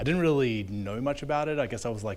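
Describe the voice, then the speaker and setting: Audible room echo accompanies a man with an Australian accent whose pitch varies in an ordinary way. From Australia, Melbourne. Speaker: software engineer. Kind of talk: panel discussion. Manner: halting.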